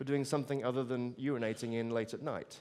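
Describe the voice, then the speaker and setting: Speaking very fast with a strong British accent, a man keeps his pitch at a medium level. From Britain. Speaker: futurist speaker. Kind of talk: keynote talk. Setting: stage with audience. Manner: conversational, with fillers.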